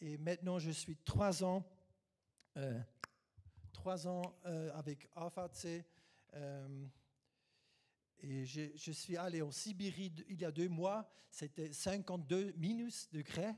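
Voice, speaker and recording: At a very slow pace, a man with a non-native accent speaks at a high pitch. His tone is dark and mellow, with long, frequent pauses. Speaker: guest preacher. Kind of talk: sermon. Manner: halting.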